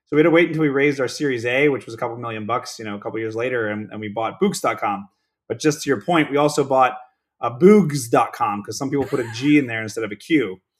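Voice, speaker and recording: A man with an American accent, very fast pace, medium pitch and ordinary pitch variation, in a very clean recording with a silent background. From Pittsburgh, Pennsylvania. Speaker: startup founder. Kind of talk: casual interview.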